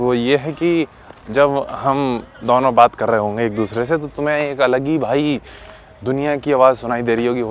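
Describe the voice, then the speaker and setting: With a Lucknow accent, a man talks at a moderate pace in a medium pitch with ordinary pitch variation, against noticeable background noise. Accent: Lucknowi-style Hindi. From Lucknow, Uttar Pradesh, India. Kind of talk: casual, friendly.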